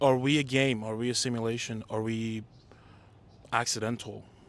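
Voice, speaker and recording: With a non-native accent, a man's voice comes across bright and sharp. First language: not English. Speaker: playwright and director. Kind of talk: casual interview chat. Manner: animated.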